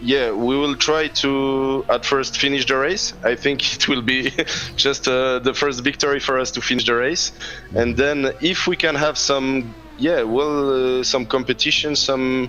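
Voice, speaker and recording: Over background music, a man with a non-native accent speaks at a fairly slow pace, with medium pitch, fairly even intonation and very even loudness. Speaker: sim racing driver. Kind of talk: press conference interview. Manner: halting.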